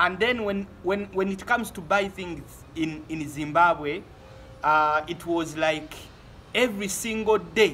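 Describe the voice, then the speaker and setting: The speaker has a Ugandan accent and a bright, sharp tone. The pace is fairly slow, with ordinary pitch variation. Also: man. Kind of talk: casual talk to camera.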